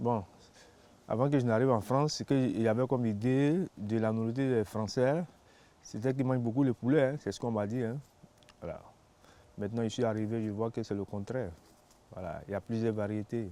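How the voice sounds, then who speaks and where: A dark, mellow tone at a fairly quick pace, broken by long, frequent pauses. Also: man, medium pitch for a man, ordinary pitch variation. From Ivory Coast, Abidjan. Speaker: newcomer interviewee. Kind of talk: interview testimony.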